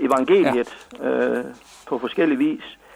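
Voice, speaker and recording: A man talks at a very slow pace. Noticeable background noise runs under his voice. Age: 60s. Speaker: missionary. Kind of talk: radio interview. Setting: phone call. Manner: halting.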